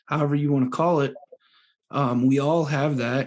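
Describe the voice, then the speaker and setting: A man with an unremarkable speaking voice. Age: 30s. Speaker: podcast host. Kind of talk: casual chat.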